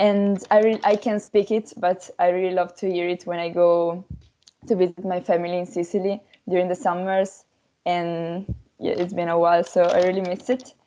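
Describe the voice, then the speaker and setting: A woman speaks with an Italian accent at a medium pitch and moderate pace. Her tone is dark and mellow, with fairly even intonation. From Italy. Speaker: language workshop participant. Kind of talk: casual group discussion. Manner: halting, many fillers.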